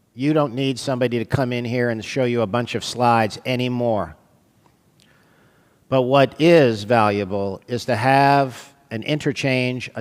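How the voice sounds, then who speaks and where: This man has an unremarkable speaking voice, medium in pitch, with ordinary pitch variation and an American accent. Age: 60s. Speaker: radiologist lecturer. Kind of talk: lecture. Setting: stage with audience.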